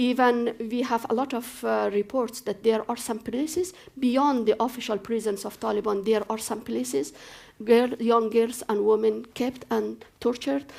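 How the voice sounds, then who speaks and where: Speaking at a moderate pace with a fairly high pitch, a woman with an Afghan accent shows ordinary pitch variation. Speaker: human rights activist, former politician. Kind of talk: panel discussion. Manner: halting, with fillers.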